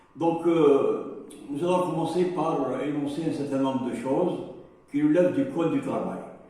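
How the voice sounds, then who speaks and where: Fairly slow and fairly high in pitch, a man speaks with ordinary pitch variation. Audible room echo and noticeable background noise come through. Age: 70s. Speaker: safety trainer. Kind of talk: lecture. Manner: halting, many hesitations.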